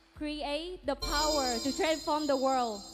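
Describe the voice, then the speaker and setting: Over music in the background, a woman with a Vietnamese accent speaks at a very slow pace in a high pitch with ordinary pitch variation. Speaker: beauty pageant contestant. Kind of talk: pageant Q&A answer.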